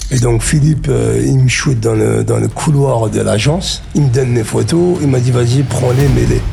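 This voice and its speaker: Male voice at a moderate pace, with audible room echo and music in the background. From France, Ardennes (Charleville-Mézières). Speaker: actor. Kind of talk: interview.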